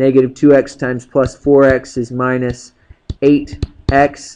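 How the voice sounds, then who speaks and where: The man's voice has a medium pitch and a monotone, flat intonation. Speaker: math teacher. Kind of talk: tutorial. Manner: fast; casual.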